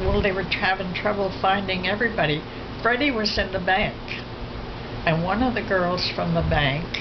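With noticeable background noise, a woman talks at a moderate pace and leaves long, frequent pauses. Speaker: elderly family member. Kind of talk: interview answer. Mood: reflective, somber recollection. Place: home room.

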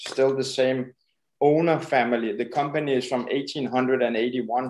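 This man speaks with a Danish accent. His pitch is medium. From Denmark. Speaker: painter and art supply shop worker. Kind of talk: interview. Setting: video call. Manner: halting.

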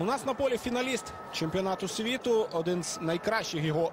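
A man's high, lively voice at a fairly quick pace, set against noticeable background noise. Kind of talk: live football commentary, analytical play-by-play. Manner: measured, conversational, hesitant with filler sounds.

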